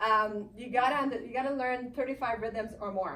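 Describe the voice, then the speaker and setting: A woman with a French Canadian accent speaks at a high pitch and a moderate pace, with ordinary pitch variation, over noticeable background noise. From Canada. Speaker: belly dance teacher. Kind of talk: live speech to an audience.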